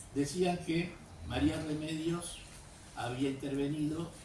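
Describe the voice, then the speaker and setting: In an audible room echo, a man speaks with a fairly high pitch and ordinary pitch variation. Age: 70s. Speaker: author and historian. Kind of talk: talk to a class. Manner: hesitant, many fillers.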